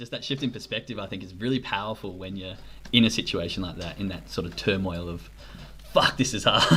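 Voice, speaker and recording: A man speaks at a very fast pace. His pitch sits fairly low. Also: ordinary pitch variation, big swings in loudness. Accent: Australian. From Australia. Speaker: podcast host. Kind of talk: interview.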